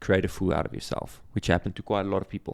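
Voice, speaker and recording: A man with a South African accent and a fairly low pitch, on a very clean recording with a silent background. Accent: Afrikaans South African English. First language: Afrikaans. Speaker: former reality show contestant and realtor. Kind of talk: podcast interview.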